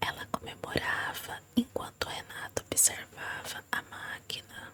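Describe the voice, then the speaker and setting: Noticeable background noise sits under a woman whispering at a very slow pace. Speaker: ASMR reader. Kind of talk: ASMR story reading. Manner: soft-spoken.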